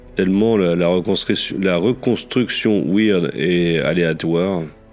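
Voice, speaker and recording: Over music in the background, a man talks with fairly even intonation. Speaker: gaming youtuber. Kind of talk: let's play commentary. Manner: hesitant, many fillers.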